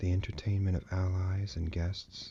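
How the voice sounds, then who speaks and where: Soft-spoken and somewhat breathy, a man talks at a moderate pace in a very deep, low pitch with a gentle, dark, mellow tone. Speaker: ASMR artist reading as a librarian character. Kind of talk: book reading of an ancient military treatise. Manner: soft-spoken, gentle.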